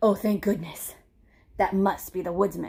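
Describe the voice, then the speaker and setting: In a put-on character voice, a woman speaks at a moderate pace with a medium pitch. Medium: read story. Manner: formal, polite, no contractions.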